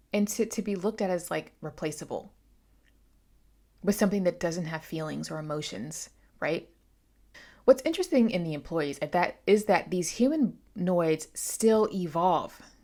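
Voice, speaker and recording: A woman's fairly low, dark and mellow voice at a moderate pace, with lively intonation and long, frequent pauses, on a very clean recording with a silent background. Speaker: booktuber. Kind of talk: book review. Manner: halting; casual.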